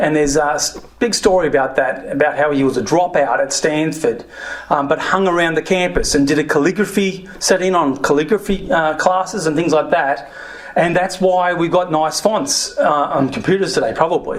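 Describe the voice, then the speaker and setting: Someone with an Australian accent talks at a moderate pace and very even loudness, with noticeable background noise. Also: man, high pitch for a man, ordinary pitch variation. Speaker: former software entrepreneur, speaker. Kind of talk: talk to an audience.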